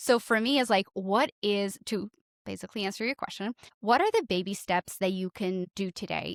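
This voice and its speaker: A woman with a slight Portuguese accent, medium pitch, ordinary pitch variation and fairly quick pace, with a dry, close sound and no echo. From Portugal. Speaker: podcast coach. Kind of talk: interview conversation.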